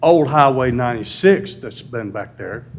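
A man with a Tennessee accent speaks with ordinary pitch variation. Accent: Southern US (Tennessee). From US South. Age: 70s. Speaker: resident speaking at public comment. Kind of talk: public comment at city meeting. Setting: city board meeting.

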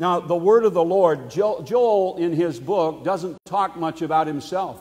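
A man talks at a high pitch with ordinary pitch variation. His pace is fairly slow, and the background is quiet. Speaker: preacher. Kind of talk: sermon. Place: church.

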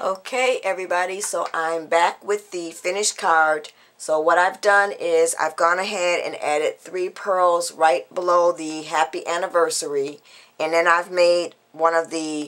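Using a normal speaking voice, a woman talks at a fairly slow pace with a fairly low pitch and fairly even intonation. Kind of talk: tutorial.

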